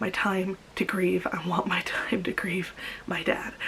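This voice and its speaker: A woman's medium-pitched voice in a monotone, flat delivery, with noticeable background noise. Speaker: vlogger. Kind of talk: personal vlog confession. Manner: emotional.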